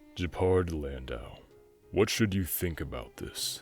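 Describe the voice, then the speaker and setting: Faint music plays behind a man doing a put-on character voice, very deep and low in pitch, at a fairly slow pace. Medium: read story. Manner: earnest, resolute.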